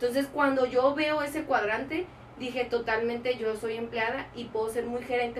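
Over noticeable background noise, a woman talks at a fairly quick pace in a high voice. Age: 30s. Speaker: entrepreneur. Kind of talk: interview.

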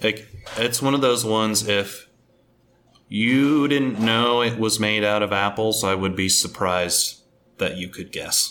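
In an American accent, a man talks at a fairly slow pace, his fairly low voice held to fairly even intonation. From Omaha, Nebraska, US Midwest. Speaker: cider maker. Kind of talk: casual interview. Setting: on location at a cidery.

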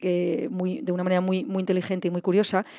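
A woman's medium-pitched voice has a dark, mellow tone and a dry, close sound with no echo. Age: 40s. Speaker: founder of a creative podcast studio. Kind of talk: interview conversation. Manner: halting, many repetitions.

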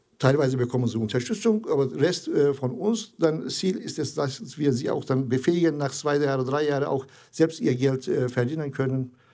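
A man with a Turkish accent speaks at a moderate pace in a fairly high pitch, his tone dark and mellow, with ordinary pitch variation. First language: Turkish (speaking German). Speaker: integration charity founder. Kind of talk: interview. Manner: halting, many hesitations.

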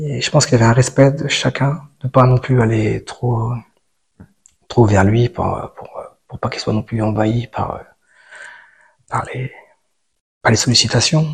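With long, frequent pauses and big swings in loudness, a man talks at a fairly slow pace, keeping a medium pitch and fairly even intonation. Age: 40s. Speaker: meditation practitioner. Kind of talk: testimony. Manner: halting.

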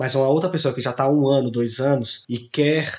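Here a man talks at a fairly quick pace in a plain, everyday voice. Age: 30s. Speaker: lab administrative assistant. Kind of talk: casual interview.

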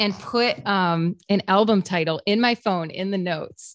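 In a very quiet background, a woman with an American accent uses a normal speaking voice at medium pitch with ordinary pitch variation, the sound dry and close with no echo. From upstate New York (Fairport, Rochester area). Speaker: country singer-songwriter. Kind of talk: casual interview chat.

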